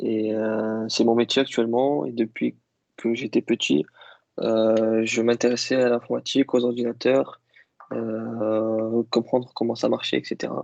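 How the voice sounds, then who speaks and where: The delivery is fairly slow, with fairly even intonation. The sound is dry and close, with no echo. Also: man, medium pitch for a man. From Algeria (Kabyle). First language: Kabyle (speaking French). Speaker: IT worker interviewed about languages. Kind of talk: interview. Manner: hesitant, many fillers.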